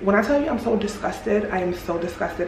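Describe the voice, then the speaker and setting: The speaker is a woman. Background noise is noticeable throughout. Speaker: vlogger. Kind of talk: casual vlog chat. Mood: angry, disgusted, indignant. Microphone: phone near.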